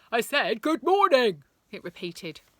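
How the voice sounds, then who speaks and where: A woman puts on a character voice at a fairly high pitch, with very wide pitch swings. She talks at a moderate pace. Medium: read story. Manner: grand and formal.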